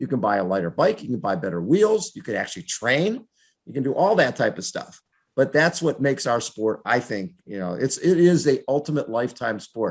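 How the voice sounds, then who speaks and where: A man with a medium-pitched voice and vocal fry speaks at a fairly quick pace. His pitch swings very widely over a quiet background. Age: 70s. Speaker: triathlete and triathlon media figure. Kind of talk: interview answer.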